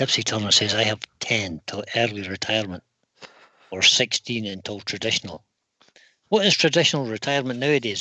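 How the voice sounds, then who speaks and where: This man has an ordinary speaking voice at a medium pitch, talking at a fairly quick pace with lively intonation. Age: 60s. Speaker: woodturning channel co-host reading live chat. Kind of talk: casual live stream chat.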